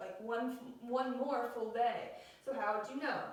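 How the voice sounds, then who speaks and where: Audible room echo surrounds a woman's high-pitched voice as she speaks at a moderate pace. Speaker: school teacher. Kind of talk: math lesson. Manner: animated.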